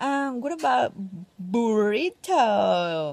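A woman in a Mexican accent, dry sound with no echo. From Mexico. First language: Spanish. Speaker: vlogger. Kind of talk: casual vlog talk to camera. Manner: upbeat, chatty. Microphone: phone near.

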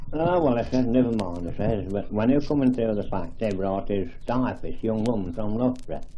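A fairly low-pitched man in an East Midlands accent at a moderate pace, with ordinary pitch variation and light background noise. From Leicestershire, England. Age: 80s+. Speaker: elderly village resident. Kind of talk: oral history interview answer. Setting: archival field recording. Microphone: old recording.

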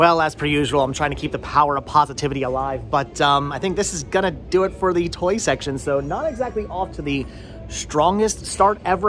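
Faint music plays in the background. Over it, a man talks with ordinary pitch variation. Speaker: thrift vlogger. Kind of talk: casual vlog chat. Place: shop. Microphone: phone near.

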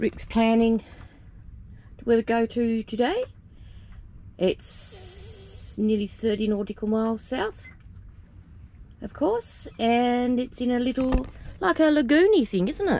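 Slowly, at a very slow pace with long, frequent pauses, a woman speaks with ordinary pitch variation in a dry sound with no echo. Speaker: sailing vlogger. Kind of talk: casual vlog chat. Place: boat. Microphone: phone near.

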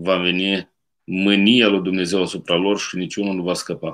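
Over a quiet background, a man talks at a fairly slow pace in a fairly low pitch. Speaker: priest. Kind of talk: sermon. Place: home room. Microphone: webcam.

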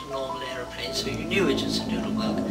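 A woman speaks over loud music in the background. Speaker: WWII civilian survivor. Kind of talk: interview answer. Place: home room.

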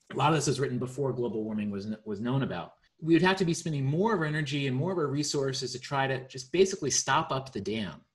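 Rushing at a very fast pace with hardly any pauses, a man sounds somewhat breathy against a quiet background. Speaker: presenter. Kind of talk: explanatory presentation. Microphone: video call.

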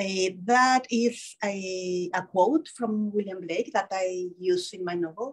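The speech moves at a slow pace. Pitch variation is ordinary. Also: woman.

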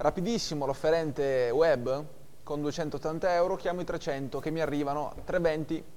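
Speaking at a fairly slow pace, a man with a fairly high pitch keeps his intonation fairly even. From Italy. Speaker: auctioneer. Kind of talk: live auction calling. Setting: auction room, streamed online. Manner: brisk, businesslike, formal. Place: hall.

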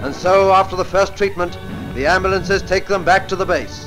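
A man talks at a fairly quick pace in a high voice. Music plays clearly in the background. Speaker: newsreel narrator. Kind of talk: newsreel narration. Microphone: old recording.

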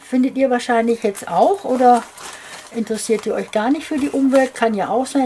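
The speaker uses ordinary pitch variation over light background noise. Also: woman. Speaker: crafter vlogger. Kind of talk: casual vlog chat. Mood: indignant, worried.

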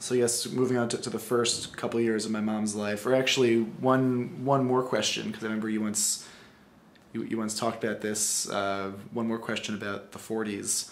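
Over light background noise, a man with an ordinary speaking voice and medium pitch talks at a moderate pace with fairly even intonation. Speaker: interviewer. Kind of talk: interview questions. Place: home room.

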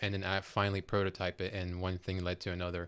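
The speed is fairly quick. The speaker is a man. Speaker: furniture designer; podcast guest. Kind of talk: casual interview. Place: studio. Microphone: studio mic.

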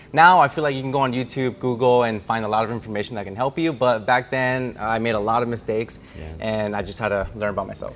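Faint music plays behind a man talking at a very fast pace. His pitch is medium, with ordinary variation. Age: 20s. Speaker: vending machine business owner. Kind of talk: casual interview and business tour. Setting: warehouse and route locations, on camera. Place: workshop.

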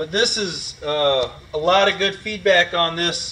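A man speaks in a raised, projected voice with ordinary pitch variation. There is light background noise. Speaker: RV dealer salesperson. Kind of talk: product walkthrough. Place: hall.

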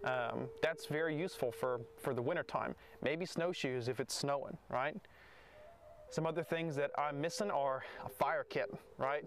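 A man at a moderate pace, with light background noise and a dry sound with no echo. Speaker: Native history educator. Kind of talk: casual educational talk to camera.

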